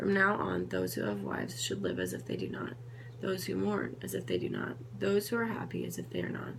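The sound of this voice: A woman speaks at a fairly quick pace with fairly low pitch and vocal fry. Her pitch swings widely.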